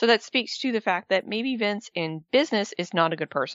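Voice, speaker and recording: A woman with a normal speaking voice talks at a fairly quick pace, her medium pitch carried by lively intonation. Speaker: radio host. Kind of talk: radio show banter. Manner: upbeat, fast-paced radio-DJ patter with show plugs.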